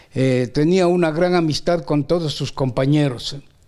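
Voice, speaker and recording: A man's fairly high voice moves at a fairly slow pace with ordinary pitch variation, over noticeable background noise. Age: 80s+. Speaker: retired primary school teacher. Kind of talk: interview reminiscence. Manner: hesitant with many fillers.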